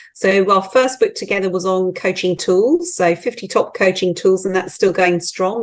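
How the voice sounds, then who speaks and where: Speaking at a moderate pace with hardly any pauses, a woman with a British accent keeps a medium pitch and fairly even intonation. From UK. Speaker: team coach and author. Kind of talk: interview conversation.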